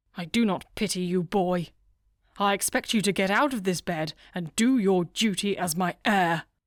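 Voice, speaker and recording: On a very clean recording with a silent background, a woman does a put-on character voice at a medium pitch, with ordinary pitch variation and a moderate pace. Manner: commanding, stern.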